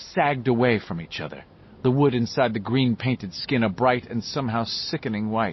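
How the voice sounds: It's a natural reading voice with fairly even intonation.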